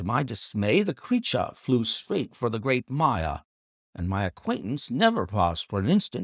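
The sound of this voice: An unforced reading voice over a quiet background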